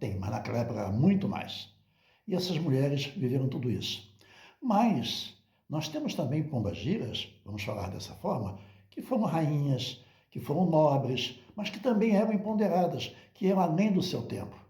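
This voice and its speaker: There is audible room echo as a man with a fairly high pitch and a dark, mellow tone speaks at a moderate pace, his voice showing vocal fry and very wide pitch swings. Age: 70s. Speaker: religious teacher. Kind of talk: monologue talk.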